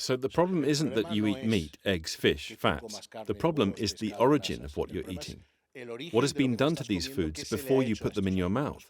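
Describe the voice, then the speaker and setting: Vocal fry colors this man's medium-pitched voice. He speaks at a moderate pace with very wide pitch swings. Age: 60s. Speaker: health coach. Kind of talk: interview. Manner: animated.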